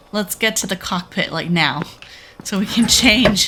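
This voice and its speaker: Noticeable background noise sits behind a woman with a medium pitch. She speaks at a fairly slow pace. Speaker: gaming video creator. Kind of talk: horror game let's play commentary. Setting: home recording with headphones. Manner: animated, exclamatory.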